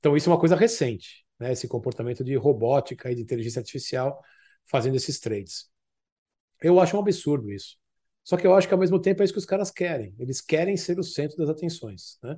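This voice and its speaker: A man speaks at a very fast pace with lively intonation and a fairly high pitch. His tone is dark and mellow, somewhat breathy, against a quiet background. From Brazil, São Paulo (Zona Norte, Tucuruvi). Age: 50s. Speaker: former orthopedic surgeon turned options trader. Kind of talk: interview conversation.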